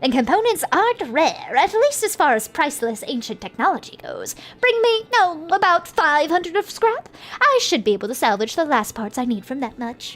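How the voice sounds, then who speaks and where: Putting on a character voice, a woman pitches it extremely high with very wide pitch swings. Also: moderate pace. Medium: game stream. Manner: eager, chatty.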